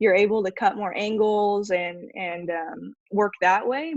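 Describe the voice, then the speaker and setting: A woman talks at a fairly slow pace in an American accent. Hers is an ordinary speaking voice at medium pitch with ordinary pitch variation. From California, US. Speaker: roundnet athlete. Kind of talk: casual interview.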